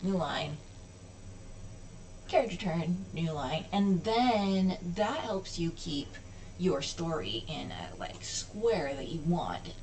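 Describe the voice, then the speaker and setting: A woman at a very slow pace with long, frequent pauses, amid audible room echo and noticeable background noise. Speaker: hobbyist programmer. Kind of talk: coding tutorial walkthrough. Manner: casual, self-correcting.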